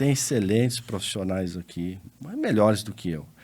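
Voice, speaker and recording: In a very clean recording with a silent background, a man with an ordinary speaking voice talks at a moderate pace with lively intonation. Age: 60s. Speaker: lawyer and accountant. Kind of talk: interview podcast conversation.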